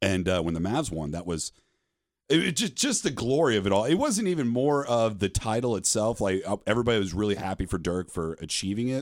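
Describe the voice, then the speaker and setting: A man's fairly low-pitched, normal speaking voice with lively intonation at a fairly quick pace. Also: very clean recording, silent background. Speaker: sports podcast host. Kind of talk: casual chat.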